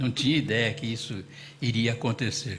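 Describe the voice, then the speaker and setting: A man speaks at medium pitch with ordinary pitch variation and a somewhat breathy sound. Audible room echo surrounds the recording. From Brazil, São Paulo state (Casa Branca). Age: 80s+. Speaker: witness at public truth commission hearing. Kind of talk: testimony. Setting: public hearing in municipal chamber.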